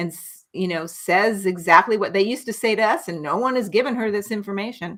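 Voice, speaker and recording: Using a plain, everyday voice with an American accent, a woman speaks at a fairly quick pace with hardly any pauses, ordinary pitch variation, and big swings in loudness. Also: medium pitch for a woman. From United States. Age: 60s. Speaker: nurse practitioner. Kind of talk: interview.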